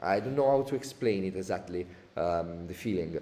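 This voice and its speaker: The man's voice has a dark, mellow tone and a fairly low pitch. He goes at a moderate pace with ordinary pitch variation. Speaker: audio plugin developer. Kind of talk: tutorial webinar. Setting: live online webinar. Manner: halting, many fillers.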